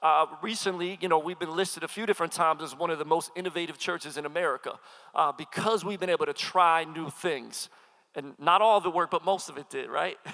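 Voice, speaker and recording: Speaking very fast, a man uses a high voice with a bright, sharp tone. His delivery is energetic, with a slight Philadelphia accent. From Philadelphia, US. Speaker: pastor and hip-hop artist. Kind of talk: sermon. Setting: stage with audience.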